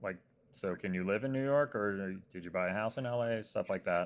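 A plain, everyday voice from a man with an American accent, fairly low in pitch with ordinary pitch variation, comes at a moderate pace on a very clean recording with a silent background. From Arizona. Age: 40s. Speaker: TV comedy writer. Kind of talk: casual chat.

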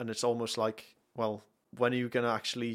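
A man speaks with a North Welsh accent. The recording is very clean, with a silent background. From North Wales. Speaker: worship musician. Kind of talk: casual chat.

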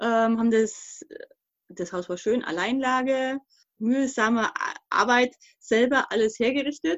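A woman with a fairly high pitch talks at a fairly slow pace, leaving long, frequent pauses. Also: ordinary pitch variation. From Thuringia, East Germany; raised in Upper Palatinate, Bavaria. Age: 40s. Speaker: podcast guest, emigrant mother. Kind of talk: casual conversation.

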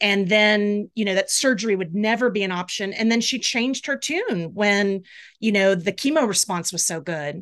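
This woman has a normal speaking voice, a medium pitch and ordinary pitch variation, and she talks at a moderate speed. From US South, Jacksonville, Florida. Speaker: storyteller, cancer patient. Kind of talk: personal story and casual interview chat.

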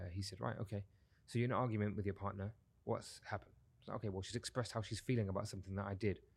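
A man talks at a very fast pace, his voice somewhat breathy and fairly low in pitch. His intonation stays fairly even. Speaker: men's coach. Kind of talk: casual interview conversation. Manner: fast talker.

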